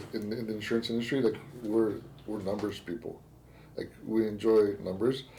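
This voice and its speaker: A man with a Spanish accent, fairly low in pitch, with a dark, mellow tone, monotone, flat intonation and a moderate pace. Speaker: podcast host, insurance agent. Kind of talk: casual podcast interview. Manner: halting, repetitive phrasing.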